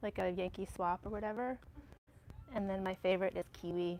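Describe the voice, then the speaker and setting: In a Massachusetts accent, a woman with a medium pitch speaks at a moderate pace. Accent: New England (Massachusetts). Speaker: yarn shop staff, co-host. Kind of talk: casual chat. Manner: animated.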